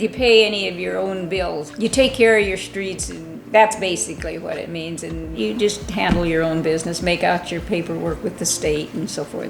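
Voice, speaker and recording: A woman with an American accent speaks at a moderate pace, her loudness swinging widely over noticeable background noise. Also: hardly any pauses. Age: 80s+. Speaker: small-town mayor. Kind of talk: interview answer.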